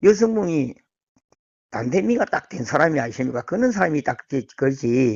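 A man talks at a moderate pace with long, frequent pauses and very wide pitch swings. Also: fairly high pitch for a man. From South Gyeongsang, Korea. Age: 60s. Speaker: food company worker. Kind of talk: casual interview. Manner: halting.

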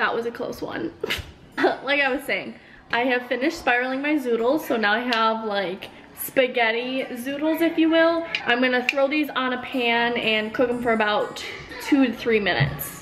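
A woman speaks in a high pitch at a moderate pace with ordinary pitch variation. Noticeable background noise is present. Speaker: lifestyle vlogger. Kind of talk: casual vlog chat. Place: kitchen.

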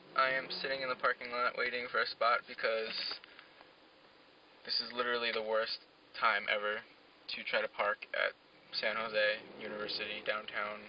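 A man at a moderate pace, dry sound with no echo, over noticeable background noise. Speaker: student vlogger. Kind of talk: casual vlog chat. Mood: mildly annoyed, relaxed. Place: car.

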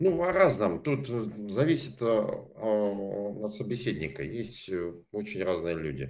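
Very wide pitch swings at a very slow pace. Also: man, fairly low pitch for a man. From Saint Petersburg, Russia. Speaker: pro-Russian passerby. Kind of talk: heated debate. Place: home room. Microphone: studio mic.

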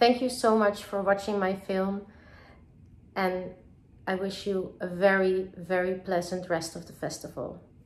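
Taking long, frequent pauses, a woman speaks at a fairly slow pace with fairly even intonation. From Netherlands, Amsterdam. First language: Dutch. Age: 30s. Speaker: film director. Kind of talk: recorded video message to festival audience; festival greeting video, direct address. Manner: halting, many filler words. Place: home room. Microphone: phone near.

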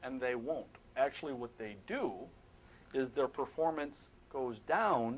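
The pace is fairly slow. The speaker is a man. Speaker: presenter. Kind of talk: lecture. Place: hall.

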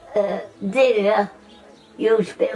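Faint music plays behind a woman who talks with a Nottinghamshire accent. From English Midlands, Nottinghamshire; English Midlands. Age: 80s+. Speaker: centenarian homeowner; interviewee. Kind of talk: casual chat; interview answer. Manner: halting.

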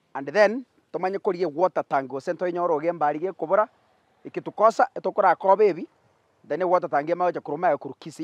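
Against a quiet background, a man with a high pitch talks at a fairly quick pace with ordinary pitch variation, in a dry sound with no echo. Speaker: charity vlogger. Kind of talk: casual vlog commentary. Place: workshop.

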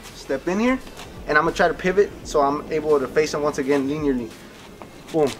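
Faint music plays in the background. A man speaks very fast with ordinary pitch variation. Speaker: boxing coach. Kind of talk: tutorial. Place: garden.

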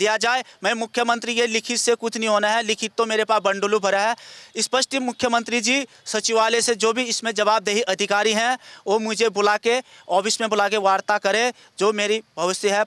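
In a dry, close recording with no echo, a high-pitched man talks at a moderate pace in a flat monotone, with a bright, sharp tone and very even loudness. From Uttarakhand. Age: 30s. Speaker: acquitted former accused seeking justice. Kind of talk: interview testimony.

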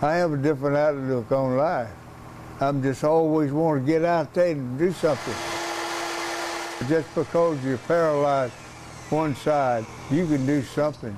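Amid noticeable background noise, a man with a fairly high pitch speaks at a moderate pace, pausing long and often. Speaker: woodworker, war veteran. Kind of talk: interview answer. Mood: determined, upbeat. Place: workshop. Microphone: lapel.

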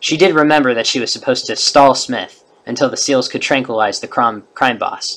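The passage gets plain reading aloud. Nothing more is added to the delivery.

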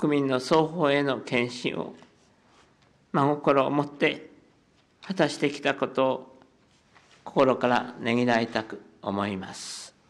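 Speaking very slowly with long, frequent pauses, a man shows ordinary pitch variation and big swings in loudness. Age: 80s+. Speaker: head of state. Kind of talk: formal press conference statement. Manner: voice trembling with emotion; slow, measured.

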